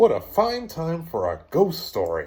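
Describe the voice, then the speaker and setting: Using a put-on character voice, a man speaks with a high pitch at a fairly slow pace. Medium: read story. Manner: teasing.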